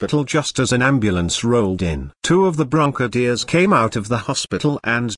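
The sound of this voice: Lively intonation runs through the speech. The reading voice is unforced.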